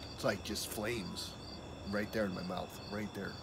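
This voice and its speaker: Loud background noise behind a man speaking at a moderate pace. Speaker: food challenge vlogger. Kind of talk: casual vlog chat. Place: garden. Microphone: phone near.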